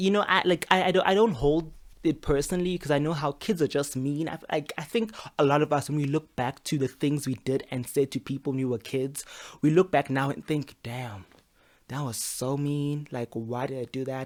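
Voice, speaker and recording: Fairly quick speech in a Zulu accent, on a very clean recording with a silent background. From South Africa. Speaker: YouTuber and podcaster. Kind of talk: casual storytelling monologue. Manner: halting, repeats words.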